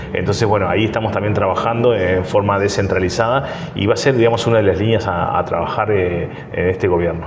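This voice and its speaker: Speaking very fast at a fairly low pitch, a man keeps his loudness very even and his pitch variation ordinary, with audible room echo and noticeable background noise. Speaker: mayor, politician. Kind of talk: interview. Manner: hesitant fillers, frequent repetitions.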